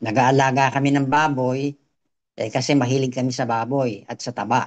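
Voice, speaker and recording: A man speaks at a medium pitch in a monotone with flat intonation. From Philippines, Quezon Province. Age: 70s. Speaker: customer giving testimony. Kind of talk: testimony. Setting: video call.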